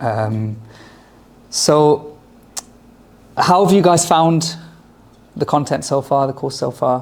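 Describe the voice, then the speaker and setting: Very slow and broken by long, frequent pauses, a man's fairly high voice shows ordinary pitch variation. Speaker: lecturer on Islamic history. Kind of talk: lecture. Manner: loud; hesitant fillers.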